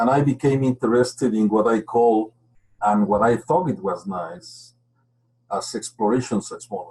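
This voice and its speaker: The speaker has a Spanish accent and a moderate pace. Pitch variation is ordinary. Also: man, medium pitch for a man. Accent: clear Spanish accent in English. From Mexico. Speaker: geophysicist. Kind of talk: webinar presentation.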